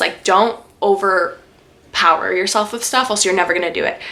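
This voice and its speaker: Noticeable background noise surrounds a woman with a Canadian accent who speaks at a medium pitch. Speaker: lifestyle YouTuber. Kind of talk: casual Q&A vlog. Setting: sit-down video at home. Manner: fast.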